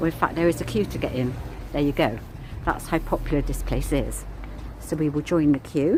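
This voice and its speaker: A woman speaks at a fairly quick pace broken by long, frequent pauses, with noticeable background noise. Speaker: vlogger, walking tour guide. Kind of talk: walking tour vlog. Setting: outdoors, walking. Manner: mumbling.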